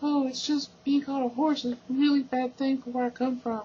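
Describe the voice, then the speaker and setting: A put-on character voice from a man, extremely high in pitch, monotone and flat, at a fairly quick pace. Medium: read story. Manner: bubbly, overeager.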